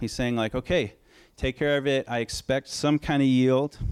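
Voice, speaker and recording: A man with a Pacific Northwest accent talks at a moderate pace in a fairly high pitch. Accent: Pacific Northwest American. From Oregon. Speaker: pastor. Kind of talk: sermon.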